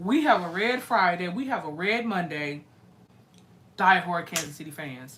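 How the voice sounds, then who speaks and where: With an American accent and a fairly low pitch, a woman speaks at a moderate pace in an animated tone, her intonation lively and her loudness swinging widely. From US Midwest, St. Louis. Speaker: live-stream music reaction host. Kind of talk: casual live-stream chat with viewers.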